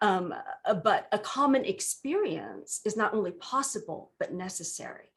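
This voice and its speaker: The speaker talks at a moderate pace in a Vietnamese accent. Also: woman. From US West Coast, Southern California. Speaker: minister. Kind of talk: workshop presentation. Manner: conversational, frequent fillers.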